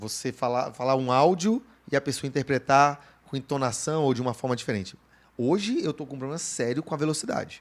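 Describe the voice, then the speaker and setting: A man talks fairly quickly in a fairly high pitch, showing ordinary pitch variation. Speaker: podcast co-host. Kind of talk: casual chat. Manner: fast.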